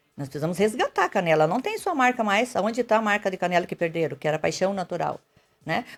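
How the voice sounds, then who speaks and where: A woman races along at a very fast pace, her intonation lively. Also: medium pitch for a woman. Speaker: mayoral candidate, nurse. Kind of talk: radio interview.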